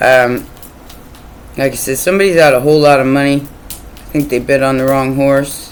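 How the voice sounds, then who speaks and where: The speaker goes at a fairly slow pace. Noticeable background noise can be heard. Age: 50s. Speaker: tarot reader. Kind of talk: casual monologue. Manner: rambling, repeats words.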